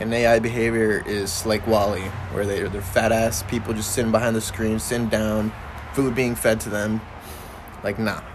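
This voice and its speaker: Against noticeable background noise and audible room echo, a man with a fairly low pitch talks at a fairly slow pace with monotone, flat intonation. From Mexican-American upbringing. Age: 20s. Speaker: podcast host. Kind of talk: casual chat.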